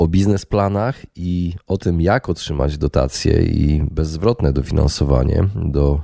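A man's very slow delivery, with ordinary pitch variation and a dry, close sound free of echo. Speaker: podcast host. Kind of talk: scripted narration; interview.

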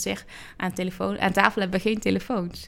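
A woman talking at a fairly quick pace, captured on a very clean recording against a silent background. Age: 30s. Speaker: church youth work coordinator. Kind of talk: interview. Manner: hesitant, many fillers.

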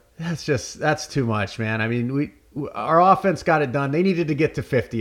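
This is a man with an ordinary speaking voice. He talks at a fairly quick pace with ordinary pitch variation. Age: 30s. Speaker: sports podcast host. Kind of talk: casual chat.

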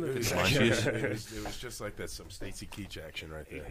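Noticeable background noise runs under a man's voice. He has lively intonation and a fairly slow pace. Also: fairly low pitch for a man. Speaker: podcast participant.

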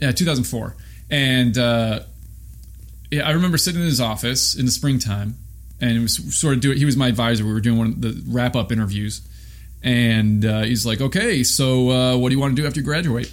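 Audible room echo colors the recording. The man talks with an American accent. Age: 30s. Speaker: trumpeter. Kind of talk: interview. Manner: halting.

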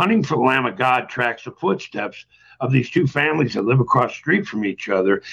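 A man of medium pitch with lively intonation and a plain, everyday voice. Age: 60s. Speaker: author. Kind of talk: interview.

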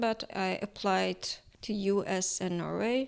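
A woman with a Turkish accent. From Iran. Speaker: painter and art student. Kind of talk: casual interview about her art. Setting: studio.

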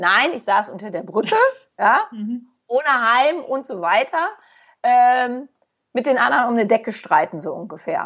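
Her pitch is high and swings very widely, with big swings in loudness. The woman leaves long, frequent pauses. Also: moderate pace. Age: 40s. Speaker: therapist. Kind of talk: casual chat.

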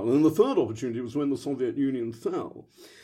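A man with a British accent and a dark, mellow tone. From London, England. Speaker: history professor. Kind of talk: academic interview answers.

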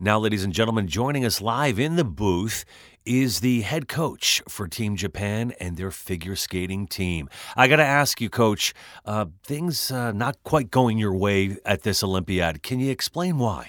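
A man with an American accent and a plain, everyday voice speaks at a fairly low pitch and fairly slow pace with lively intonation, in a very clean recording with a silent background. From Westchester, New York. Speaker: voice actor and sportscaster. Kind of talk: casual interview chat.

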